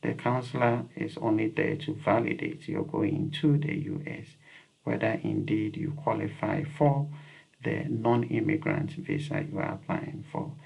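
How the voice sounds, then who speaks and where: A fairly slow delivery with a Ghanaian accent and ordinary pitch variation. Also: man. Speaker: YouTube educator. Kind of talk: advice talk to camera. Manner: repetitive, with many fillers.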